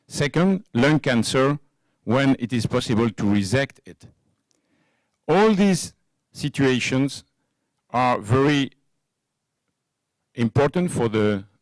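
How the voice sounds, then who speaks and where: Speaking at a very slow pace with a French accent, a man with a medium-pitched voice uses lively intonation, big swings in loudness, and long, frequent pauses. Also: dry, close sound with no echo. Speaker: cardiovascular surgeon. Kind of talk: conference lecture. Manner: halting, many fillers.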